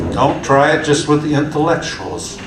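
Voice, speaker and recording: A man speaks at a fairly high pitch. Audible room echo and noticeable background noise surround his voice. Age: 70s. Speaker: community organizer. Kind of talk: conference talk. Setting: stage with audience. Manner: halting, many repetitions; animated.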